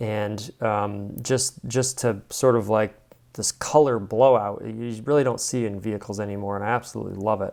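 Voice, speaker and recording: On a very clean recording with a silent background, a man with a fairly low pitch speaks at a moderate pace and with fairly even intonation. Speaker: car reviewer, video host. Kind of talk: casual commentary on car photos. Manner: rambling, filler-heavy.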